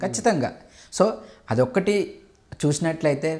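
Over a quiet background, a man talks. His pitch swings very widely. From Andhra Pradesh, East Godavari (Mandapeta); Andhra Pradesh, India. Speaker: pharma education company chairman. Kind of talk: interview. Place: home room. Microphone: lapel.

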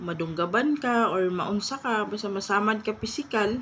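Speaking at a fairly slow pace, a woman has medium pitch and ordinary pitch variation. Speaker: vlogger. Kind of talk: casual commentary vlog. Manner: halting, stumbling over words.

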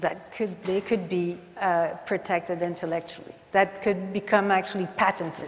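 Speaking at a fairly slow pace, a woman talks with a Quebec French accent. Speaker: science journalist and conference moderator. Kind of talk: panel moderation. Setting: stage with audience. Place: stage.

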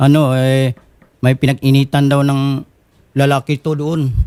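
Recorded with a dry, close sound and no echo, a man speaks at a very slow pace in a fairly high pitch. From Bohol, Philippines. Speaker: complainant on a public-service show. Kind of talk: complaint interview.

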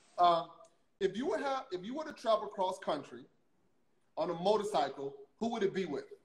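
An American accent with long, frequent pauses and audible room echo. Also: man, high pitch for a man. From US South (Louisiana). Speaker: interview show host. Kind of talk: casual interview conversation. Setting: video call livestream. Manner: halting, repeats words. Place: home room.

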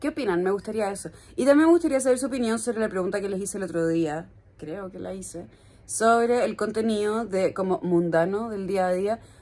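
With a dark, mellow tone, a woman speaks at a medium pitch and a fairly quick pace. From Chile. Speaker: lifestyle vlogger. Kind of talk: casual vlog talk to camera. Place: home room. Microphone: phone near.

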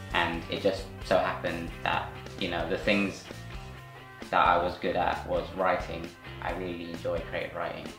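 Clear music plays behind a man who talks at a moderate pace with long, frequent pauses. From West London. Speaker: freelance film director. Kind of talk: interview answer. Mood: relaxed, reflective. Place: home room.

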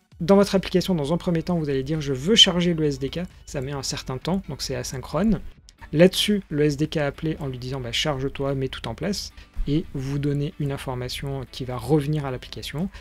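Faint music plays in the background of speech at a moderate pace with ordinary pitch variation. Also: man. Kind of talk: tutorial.

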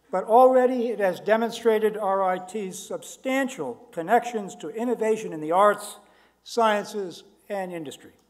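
Over a quiet background, a high-pitched man speaks at a moderate pace with ordinary pitch variation and big swings in loudness. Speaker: ceremony host or university official. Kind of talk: formal ceremony speech. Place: hall. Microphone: podium.

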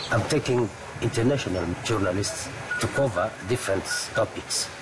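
There is noticeable background noise. A man talks at a fairly slow pace. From DR Congo. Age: 50s. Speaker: journalism fixer. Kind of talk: documentary interview. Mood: calm, reflective. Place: garden. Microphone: lapel.

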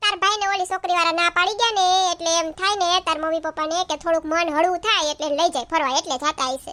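Putting on a squeaky character voice at an extremely high pitch, a woman talks at a fairly quick pace in a dry, close sound with no echo. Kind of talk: family comedy sketch. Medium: comedy sketch. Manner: teasing, dismissive.

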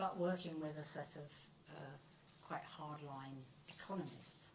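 A woman speaks at a moderate speed while noticeable noise sits in the background. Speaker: professor. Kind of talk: lecture. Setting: lecture hall with microphone.

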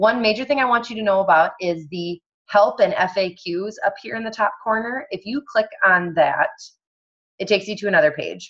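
Against a quiet background, a woman speaks at a moderate pace with lively intonation. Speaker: online fitness coach leading a training call. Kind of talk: tutorial on a group coaching call. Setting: video call with screen sharing. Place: home room. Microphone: video call.

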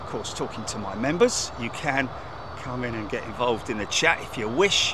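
Recorded dry with no echo but with noticeable background noise, a man talks at a moderate pace. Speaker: live stream host. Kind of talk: live planespotting commentary. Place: open country.

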